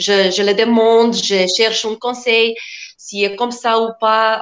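A woman speaks at a very slow pace. Her voice sits at a fairly high pitch. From Macedonia. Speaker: food florist, small business owner. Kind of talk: radio interview, explaining her trade. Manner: halting, searching for words, laughs often.

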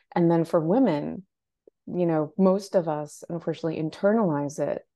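A woman in a plain, everyday voice with an American accent, fairly low pitch and ordinary pitch variation. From Portland, Maine, US. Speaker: personal stylist. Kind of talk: casual interview.

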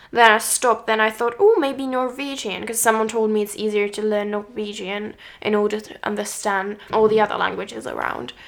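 A woman with a Czech accent speaks at a fairly quick pace with hardly any pauses, her pitch fairly high. Her loudness swings widely while her intonation stays fairly even. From Czech Republic. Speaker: podcast co-host, learning musician. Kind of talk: casual chat. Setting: on a sofa at home.

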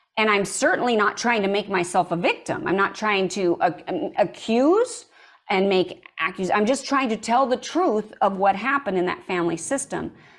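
Using a plain, everyday voice, a woman talks at a moderate pace and medium pitch with lively intonation. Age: 50s. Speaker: screenwriter and story coach. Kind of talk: interview testimony.

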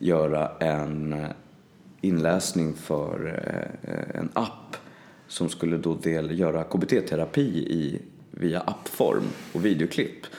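Here a man is speaking. His voice is very deep and low. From Stockholm, Sweden (southern suburbs). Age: 30s. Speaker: voice actor. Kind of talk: casual chat.

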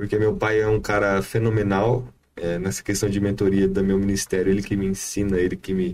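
Using a normal speaking voice, a man talks at a fairly quick pace and fairly low pitch with fairly even intonation. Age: 20s. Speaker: evangelist. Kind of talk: casual chat.

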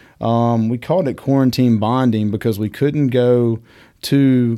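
A man's dark, mellow voice at medium pitch, with a Southern US accent, a fairly slow pace and fairly even intonation, on a very clean recording with a silent background. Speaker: whiskey shop owner and whiskey educator. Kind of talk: casual interview chat.

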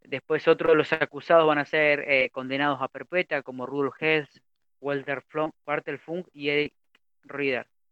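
A man speaks slowly and fairly high in pitch, in monotone, flat intonation broken by long, frequent pauses. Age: 30s. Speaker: community radio host. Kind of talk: history segment reading. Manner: sounds older than his age.

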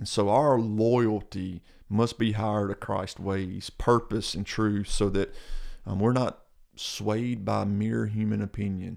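In a Mississippi accent, a man talks at a very slow pace with fairly low pitch and monotone, flat intonation over a quiet background. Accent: Southern US (Mississippi). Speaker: pastor. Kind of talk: casual chat.

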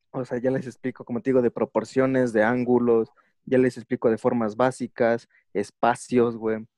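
A man talks in a monotone, flat intonation at a moderate pace, his tone dark and mellow. The sound is dry and close with no echo. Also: medium pitch for a man. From Mexico. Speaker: chicano lettering artist. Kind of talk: interview. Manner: casual, slangy.

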